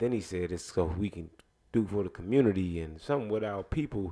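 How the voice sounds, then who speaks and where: A man's very deep, low voice with a dark, mellow tone against a quiet background. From Jamaica (Spanish Town). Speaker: podcast co-host. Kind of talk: casual chat. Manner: fast.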